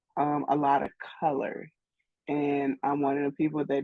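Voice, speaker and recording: A woman with a St. Louis accent speaks in a very deep, low pitch. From St. Louis, Missouri. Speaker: graphic artist. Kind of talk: interview. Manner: casual, many fillers.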